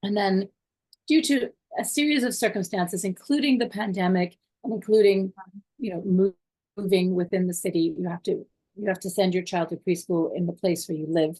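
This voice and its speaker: In a Canadian accent, a woman speaks fairly quickly in a medium-pitched, somewhat breathy voice with a dark, mellow tone and ordinary pitch variation, the sound dry and close with no echo. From Canada. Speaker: parent. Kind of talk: interview.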